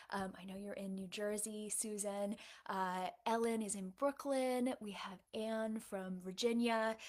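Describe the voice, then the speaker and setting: Using an American accent, a woman speaks at a fairly slow pace. Her intonation is fairly even and her pitch fairly high. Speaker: novelist. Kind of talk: livestream Q&A. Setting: livestream. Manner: casual, many fillers (um, uh).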